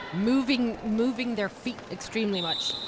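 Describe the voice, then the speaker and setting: Over noticeable background noise, the speaker has a slight non-native accent, ordinary pitch variation and a moderate pace. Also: woman. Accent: near-native English. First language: not English. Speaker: roller derby commentator. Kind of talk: live commentary.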